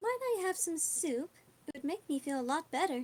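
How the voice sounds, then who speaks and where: Using a put-on character voice, a woman sounds high-pitched and squeaky. Her pitch swings very widely as she speaks at a moderate pace. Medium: actual play.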